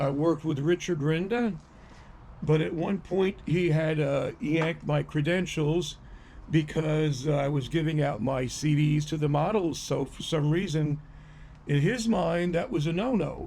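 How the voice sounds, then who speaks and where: A man speaks at a fairly slow pace in a fairly high pitch. His tone is dark and mellow, with ordinary pitch variation. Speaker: videographer and songwriter. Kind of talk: casual monologue to camera. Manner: halting, with many fillers.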